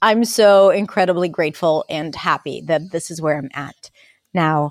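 Recorded very cleanly against a silent background, with a dry, close sound and no echo, a woman speaks at a fairly slow pace with an Israeli accent. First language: Hebrew. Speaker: accent and communication coach. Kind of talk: casual interview chat.

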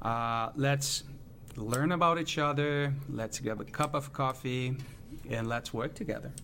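A man with a Portuguese accent speaks at a fairly slow pace, his medium-pitched voice bright and sharp in tone, with fairly even intonation. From Brazil. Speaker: business association chief executive. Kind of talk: interview.

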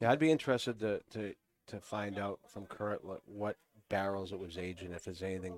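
With a Boston accent, a man talks at a very fast pace and a fairly low pitch. His pitch varies in an ordinary way, and the sound is dry and close with no echo. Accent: New England, Boston-like. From New Hampshire. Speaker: cigar company representative. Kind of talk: casual chat.

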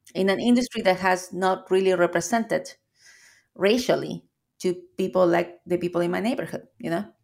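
On a very clean recording with a silent background, a woman with a Chilean accent speaks at a fairly quick pace, her medium pitch showing ordinary variation. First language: Spanish. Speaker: coffee shop owner. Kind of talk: interview. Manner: repeats words when searching for phrasing.

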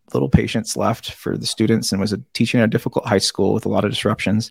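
This man has an American accent and a medium pitch with vocal fry. The sound is dry and close, with no echo. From US Northwest, South Seattle. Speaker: board game designer and comedian. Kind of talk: podcast interview. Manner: halting, many repetitions.

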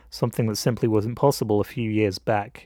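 With an English accent, a man speaks at a medium pitch in a dark, mellow tone, the sound dry and close with no echo on a very clean recording with a silent background. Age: 20s. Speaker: film student and podcast host. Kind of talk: scripted narration.

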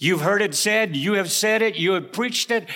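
In a very clean recording with a silent background, a man with an American accent uses a raised, projected voice, high-pitched with a bright, sharp tone and ordinary pitch variation. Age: 70s. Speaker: preacher and seminary teacher. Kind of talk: sermon. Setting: chapel.

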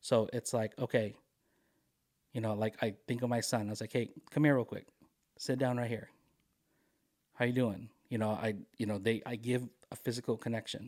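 Fairly quick in pace, a man speaks at a medium pitch in a monotone, flat intonation. He leaves long, frequent pauses. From Philippines. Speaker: DJ and mental health trainer. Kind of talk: casual chat. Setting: studio.

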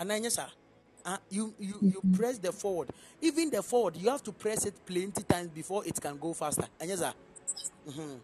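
Music plays in the background. The pace is fairly quick, broken by long, frequent pauses. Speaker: preacher. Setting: church.

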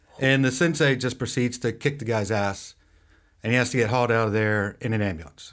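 A man speaks at a fairly quick pace in a normal speaking voice, his pitch medium with ordinary variation. The recording is very clean, with a silent background. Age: 50s. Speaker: podcast co-host. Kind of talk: casual chat.

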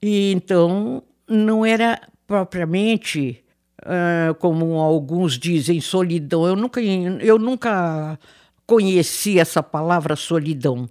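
A woman's fairly low voice, very slow in pace yet lively in intonation, on a very clean recording with a silent background. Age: 80s+. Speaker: retiree living in a care residence. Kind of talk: interview testimony.

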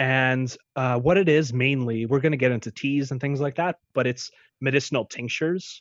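Speaking at a moderate pace, a man uses a normal speaking voice with a medium pitch and fairly even intonation. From born in Ukraine, raised in the US from age four. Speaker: naturopathic doctor. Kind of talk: interview conversation.

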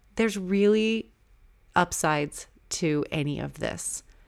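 At a very slow pace, a woman speaks loudly with an American accent and ordinary pitch variation on a very clean recording with a silent background. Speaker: podcast host. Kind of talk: solo podcast monologue, casual. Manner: loud, laughs loudly.

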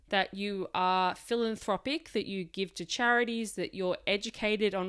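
A woman's medium-pitched voice with an Australian accent, at a moderate pace with ordinary pitch variation, on a very clean recording with a silent background. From Australia, Melbourne. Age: 20s. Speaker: podcast host. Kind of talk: solo podcast monologue. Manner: casual, chatty.

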